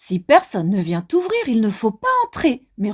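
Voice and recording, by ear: Someone reads aloud in a natural voice.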